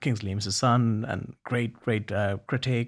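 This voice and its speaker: A somewhat breathy man speaks at a medium pitch in a very clean recording with a silent background. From Bangladesh, Dhaka. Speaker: poet and festival co-founder. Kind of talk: interview. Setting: studio. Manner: halting.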